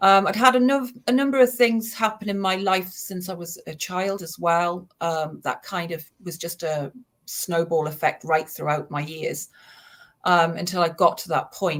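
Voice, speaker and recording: A woman with a slight Geordie accent speaks at a moderate pace and fairly low pitch, her intonation lively and her loudness swinging widely, on a very clean recording with a silent background. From northern England, Newcastle. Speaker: suicide prevention charity founder. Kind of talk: personal testimony.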